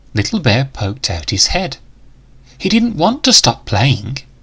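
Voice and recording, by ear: Big pitch swings mark this fairly slow delivery, its fairly bright tone carrying a slightly husky edge.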